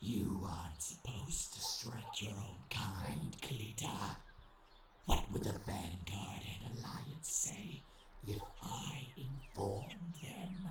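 Speaking very slowly at medium pitch with very wide pitch swings, a man is heard through slight echo, hissing and loud background noise. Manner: sneering, sarcastic, hissing.

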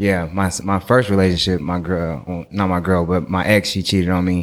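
This man's pitch is very deep and low. He has an American accent and speaks at a moderate pace. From Oakland, California. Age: 30s. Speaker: clothing designer. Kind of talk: casual chat.

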